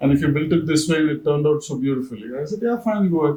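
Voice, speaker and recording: Ordinary pitch variation marks a man's fairly high, an unremarkable speaking voice. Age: 60s. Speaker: eco-home builder and cycling advocate. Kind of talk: interview.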